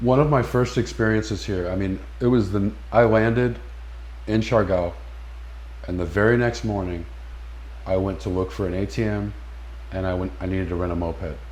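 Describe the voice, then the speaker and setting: With audible room echo, a man speaks at a moderate pace in a very deep, low pitch, using very wide pitch swings, a somewhat breathy sound and long, frequent pauses. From California. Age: 50s. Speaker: expat interviewee. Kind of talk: interview. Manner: halting, many repetitions.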